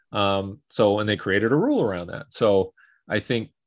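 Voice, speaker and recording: A man speaks at a moderate pace with a fairly low pitch and fairly even intonation, in a very clean recording with a silent background. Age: 50s. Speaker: speed and fitness coach. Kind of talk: casual interview. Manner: halting, repeats words.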